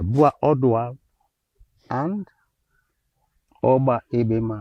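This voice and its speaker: Very slow speech from a man at a medium pitch. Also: ordinary pitch variation. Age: 80s+. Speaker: environmental activist. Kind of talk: interview.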